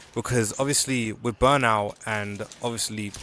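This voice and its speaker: Speaking quietly in a relaxed tone, a man keeps a moderate pace. His pitch is fairly low and his intonation fairly even. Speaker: gaming video diarist. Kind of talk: casual vlog chat while gaming. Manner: quiet, relaxed; halting with restarts.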